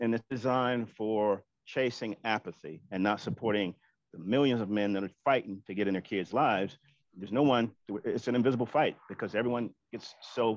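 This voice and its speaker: An ordinary speaking voice with an American accent, ordinary pitch variation and a fairly quick pace. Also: man, medium pitch for a man. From US Deep South and Oakland. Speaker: panel guest, father. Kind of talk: casual panel discussion.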